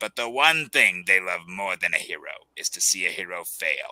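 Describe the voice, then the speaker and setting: Putting on a character voice, a man speaks at a moderate pace in a very deep, low pitch with a menacing tone. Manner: menacing, taunting.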